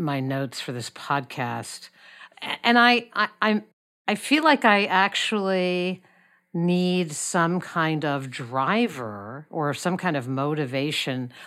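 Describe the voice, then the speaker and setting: On a very clean recording with a silent background, a woman with a very deep, low pitch swings very widely in pitch while speaking at a very slow pace. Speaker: nonprofit consultant and podcast host. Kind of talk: interview.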